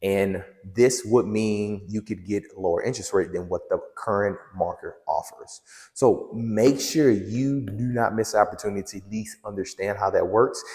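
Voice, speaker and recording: In a plain, everyday voice, a man talks at a fairly low pitch and moderate pace with ordinary pitch variation. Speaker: real estate agent. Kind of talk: property tour vlog. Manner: casual, conversational.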